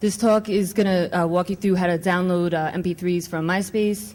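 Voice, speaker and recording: With a New York accent, a woman talks fairly quickly at a fairly low pitch, keeping her intonation fairly even. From New York City. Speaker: conference speaker, network administrator and adjunct professor. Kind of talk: conference talk. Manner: casual, filler-heavy.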